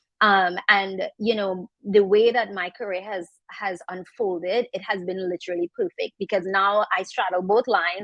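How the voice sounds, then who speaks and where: A woman at a moderate pace, monotone and flat in intonation, with hardly any pauses. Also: medium pitch for a woman. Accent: strong Trinidadian. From Trinidad, south. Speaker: makeup artist and content creator. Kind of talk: panel discussion.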